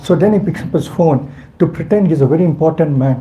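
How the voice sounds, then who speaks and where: A man with a fairly high voice talks fairly quickly while noticeable background noise runs underneath. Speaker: spiritual teacher. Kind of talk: religious class. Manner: halting.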